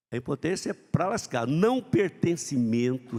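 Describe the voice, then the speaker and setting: Recorded dry and close with no echo, a man talks at a moderate pace with very wide pitch swings. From Brazil, southern Minas Gerais. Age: 70s. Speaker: motivational speaker. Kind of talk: motivational talk. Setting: stage with audience. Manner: halting.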